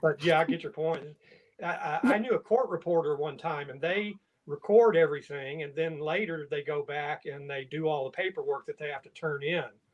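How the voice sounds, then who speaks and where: The speaker has a Southern US accent and a fairly quick pace. Pitch varies in an ordinary way, while loudness swings widely. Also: man, fairly high pitch for a man. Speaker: writing group member. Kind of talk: casual chat.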